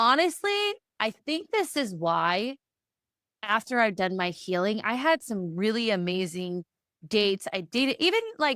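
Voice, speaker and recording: Loud, animated woman's voice, fairly high and bright, sharp in tone, with very wide pitch swings at a fairly slow pace. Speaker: podcast host and therapist. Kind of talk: solo podcast monologue.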